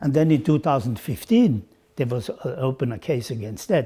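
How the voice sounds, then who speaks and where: Fairly quick and somewhat breathy, a man speaks at a fairly high pitch with a dark, mellow tone. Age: 80s+. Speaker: former sports federation president. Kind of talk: interview answer. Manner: hesitant, halting.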